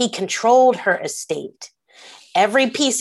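A woman with a normal speaking voice and an American accent, at a moderate pace, with lively intonation. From Philadelphia, US. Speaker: history professor and author. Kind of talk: interview conversation.

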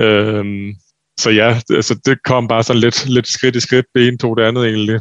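The intonation stays monotone and flat. A man's voice sits at a medium pitch. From Denmark, Funen (Ringe). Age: 20s. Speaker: professional handball player. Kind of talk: interview.

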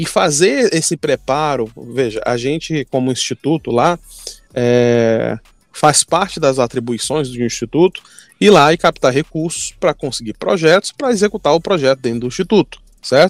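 With lively intonation and a fairly high pitch, a man speaks at a moderate pace in a dry, close sound with no echo. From Brazil, Manaus (Amazonas). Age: 20s. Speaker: startup entrepreneur. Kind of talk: podcast interview. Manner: halting, many fillers and repetitions.

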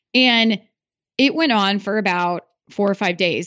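Speaking with an American accent, a woman has an ordinary speaking voice, a medium pitch and ordinary pitch variation. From Iowa. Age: 30s. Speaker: podcaster and business coach. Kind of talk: interview.

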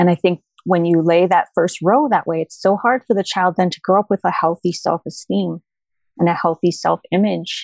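In a very clean recording with a silent background and a dry, close sound with no echo, a woman speaks at a moderate pace in an unremarkable speaking voice, fairly low in pitch with ordinary pitch variation. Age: 40s. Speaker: former preschool owner and author. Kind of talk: casual chat.

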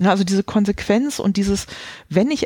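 The voice has a dark, mellow tone and is somewhat breathy, moving at a fairly quick pace. The sound is dry and close, with no echo. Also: woman. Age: 40s. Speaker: quality management consultant and author. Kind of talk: interview.

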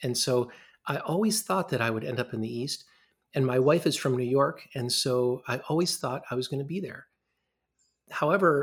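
Someone with an American accent speaks at a moderate pace with ordinary pitch variation, in a very clean recording with a silent background. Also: man. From US Midwest, Ann Arbor, Michigan. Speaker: radiology professor. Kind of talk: interview.

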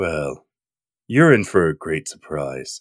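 In a put-on character voice, a man speaks very deep and low and raspy, with lively intonation at a fairly slow pace, the very clean recording dry and close with no echo and a silent background. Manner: ominous.

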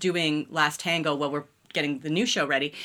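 A woman with a Canadian accent speaks at a fairly quick pace. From Ontario, Canada (London, Ontario). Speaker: television writer. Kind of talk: casual interview.

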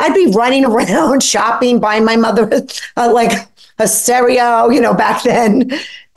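Fairly slow speech in an American accent, with fairly even intonation and very even loudness, over noticeable background noise. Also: woman, fairly high pitch for a woman. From New York (Brooklyn). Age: 50s. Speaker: author, guest. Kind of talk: interview.

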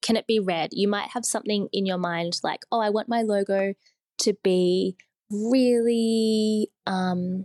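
Recorded with a dry, close sound and no echo, a woman speaks at a medium pitch with ordinary pitch variation. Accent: Australian. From Sydney, Australia. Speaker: designer. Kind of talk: casual interview chat.

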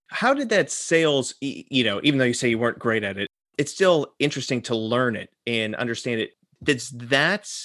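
A man with an American accent has an unremarkable speaking voice, a moderate pace, ordinary pitch variation and a dry, close sound with no echo. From US, Florida. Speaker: podcast co-host. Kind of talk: casual chat.

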